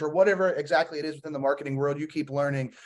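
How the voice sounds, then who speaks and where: The pace is very fast, with ordinary pitch variation. Noticeable background noise can be heard. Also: man. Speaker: podcast host. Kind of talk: casual interview.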